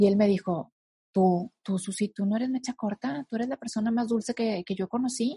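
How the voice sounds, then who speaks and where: Dry and close with no echo, a woman's somewhat breathy voice has a dark, mellow tone and a fairly high pitch, moving at a moderate pace with ordinary pitch variation. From northern Mexico. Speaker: guest speaker on emotional healing. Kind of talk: interview conversation.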